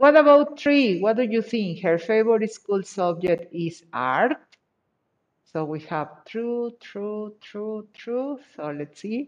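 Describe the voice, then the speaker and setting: Speaking very slowly in a Spanish accent, a woman with a fairly high pitch lets her voice swing very widely. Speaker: English teacher. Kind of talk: online class.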